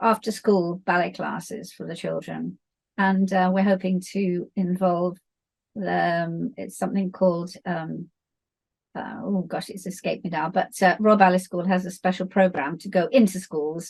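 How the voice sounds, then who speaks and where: In a British accent, a somewhat breathy woman at medium pitch speaks at a moderate pace, with fairly even intonation and big swings in loudness. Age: 70s. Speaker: dance teacher and author. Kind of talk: interview.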